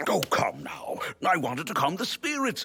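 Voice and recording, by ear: A man performs a cartoonish character voice pitched high. The sound is dry and close, with no echo. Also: moderate pace.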